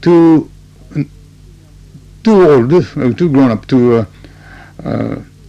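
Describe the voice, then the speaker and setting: Lively intonation marks a man's fairly slow speech, heard against noticeable background noise. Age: 60s. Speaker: interpreter and company chairman. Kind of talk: radio interview. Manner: halting.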